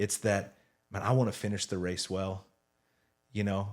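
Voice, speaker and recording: Flat and monotone, a man with a fairly low pitch speaks in a very clean recording with a silent background. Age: 40s. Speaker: senior pastor. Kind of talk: casual chat.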